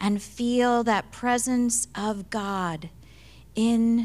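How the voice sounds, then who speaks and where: The speaker is a woman with a somewhat breathy voice. She talks at a very slow pace. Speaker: minister leading service. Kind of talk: prayer and introduction. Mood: calm, warm, reverent. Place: church. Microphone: handheld.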